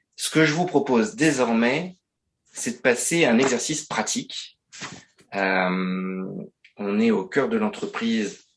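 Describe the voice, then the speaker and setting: A man speaks very slowly at a medium pitch, with long, frequent pauses. His pitch swings very widely. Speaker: business trainer. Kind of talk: webinar presentation. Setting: online webinar. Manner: hesitant, many fillers.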